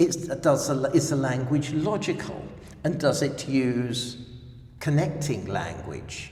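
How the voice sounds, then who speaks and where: Over noticeable background noise and audible room echo, a man with a London accent talks at a very slow pace, his fairly high pitch showing ordinary variation. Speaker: language exam representative. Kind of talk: interview. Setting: language center.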